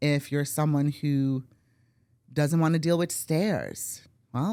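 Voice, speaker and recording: A woman with an American accent speaks in a very deep, low pitch and a dark, mellow tone. Her pitch variation is ordinary and her loudness very even. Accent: Brooklyn accent, stronger when talking fast. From New York City, Brooklyn. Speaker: real estate agent. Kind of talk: podcast interview. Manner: animated.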